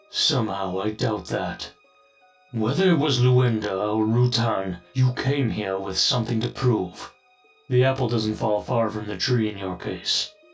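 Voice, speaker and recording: A man's put-on character voice at medium pitch and moderate pace, with faint music in the background. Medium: audio drama. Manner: calm, paternal.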